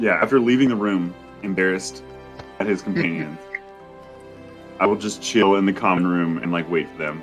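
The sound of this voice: Over background music, a man with a very deep, low, hoarse voice talks fairly quickly with ordinary pitch variation, big swings in loudness and long, frequent pauses.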